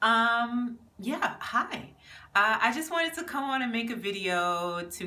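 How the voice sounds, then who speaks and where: With an American accent, the voice swings very widely in pitch over noticeable background noise. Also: woman. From Jamaica, then raised in the US. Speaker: small business owner and vlogger. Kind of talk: casual vlog monologue. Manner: chatty with many fillers.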